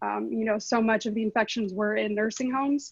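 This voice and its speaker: A woman with a fairly high pitch talks at a fairly quick pace. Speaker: housing advocate panelist. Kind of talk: panel discussion. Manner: fast.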